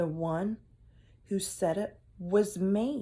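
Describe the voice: At a slow pace, a woman speaks at a medium pitch with a dark, mellow tone, a slightly husky edge and ordinary pitch variation.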